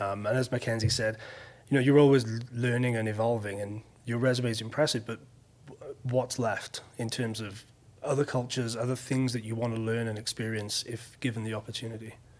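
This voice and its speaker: The delivery is fairly quick and monotone, with flat intonation and noticeable background noise. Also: man, medium pitch for a man. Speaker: podcast host. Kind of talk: casual interview.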